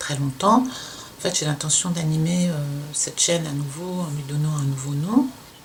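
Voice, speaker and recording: Fairly slow delivery amid noticeable background noise. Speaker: sewing youtuber, former fashion designer. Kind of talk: casual podcast talk. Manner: halting, hesitant.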